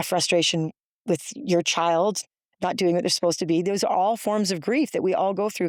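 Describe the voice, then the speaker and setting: A woman's unremarkable speaking voice at medium pitch and a fairly quick pace, with ordinary pitch variation, very even loudness, and a dry, close sound with no echo. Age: 50s. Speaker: grief literacy speaker and author. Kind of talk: interview conversation.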